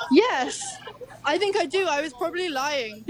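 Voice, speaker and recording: Noticeable background noise sits under this woman's high-pitched voice. She talks at a moderate pace with a London accent. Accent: British, London. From Hackney, London. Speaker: phone-in guest, friend of the host.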